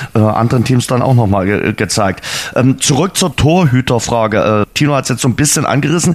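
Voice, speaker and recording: Fairly quick speech from a man, noticeable background noise throughout. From Dresden, Saxony. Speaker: podcast host. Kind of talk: casual chat.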